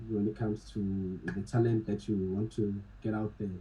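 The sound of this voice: A man with a fairly low pitch and dark, mellow tone, moderate pace, little pitch movement.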